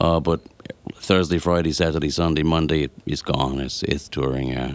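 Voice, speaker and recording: The voice has an Irish accent and ordinary pitch variation. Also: man. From Ireland. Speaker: singer and musician. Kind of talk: interview. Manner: halting.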